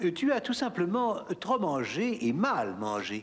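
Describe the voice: A cartoonish character voice with very wide pitch swings. The pace is fairly slow. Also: man, high pitch for a man.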